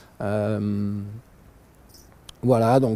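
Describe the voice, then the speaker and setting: A man is speaking. His tone is dark and mellow. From France, Alsace. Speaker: vlogger. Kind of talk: casual vlog monologue. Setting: outdoors in nature, cold. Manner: hesitant, many fillers.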